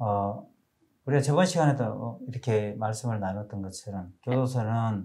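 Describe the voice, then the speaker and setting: At a moderate pace, this man talks in a dark, mellow tone that is somewhat breathy, his pitch varying in an ordinary way. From South Korea. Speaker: preacher. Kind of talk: sermon. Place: studio. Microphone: lapel.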